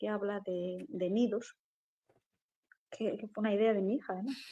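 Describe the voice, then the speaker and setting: A woman with a medium pitch speaks in a dark, mellow tone with fairly even intonation. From Galicia, Spain (Lugo). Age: 40s. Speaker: poet and writer. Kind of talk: interview conversation.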